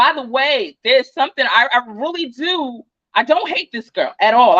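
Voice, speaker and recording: This woman speaks loudly. She has an American accent. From New Jersey. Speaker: true crime and tarot YouTuber. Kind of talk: livestream chat. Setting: livestream. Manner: fast.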